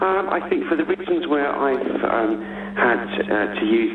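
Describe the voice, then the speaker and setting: A man's voice with ordinary pitch variation, audible room echo, and noticeable background noise. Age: middle-aged. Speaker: caller. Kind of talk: phone-in call.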